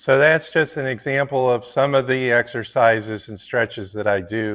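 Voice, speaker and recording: This man has an ordinary speaking voice and keeps a moderate pace. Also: very clean recording, silent background. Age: 50s. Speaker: fitness vlogger and landscaper. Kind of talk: casual tutorial vlog.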